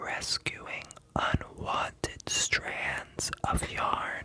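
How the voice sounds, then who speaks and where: A whispered voice moves at a very slow pace. Noticeable background noise sits behind it. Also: man. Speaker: ASMR artist. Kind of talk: ASMR bedtime story reading. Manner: soft-spoken, relaxing.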